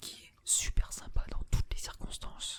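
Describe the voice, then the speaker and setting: A man whispers at a very slow pace. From France. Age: 18. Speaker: ASMR and gaming YouTuber. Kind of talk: casual talk to camera. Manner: casual, chatty, laid-back.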